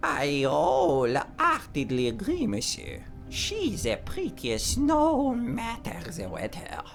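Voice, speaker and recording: A man does a put-on character voice at a fairly slow pace, with clear background noise behind him. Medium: video game. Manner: formal, polite.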